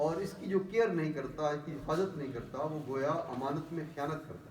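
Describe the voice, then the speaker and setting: Fairly high-pitched male speech, ordinary in pitch variation, against noticeable background noise. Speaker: imam, religious speaker. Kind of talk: explanatory religious talk in Urdu.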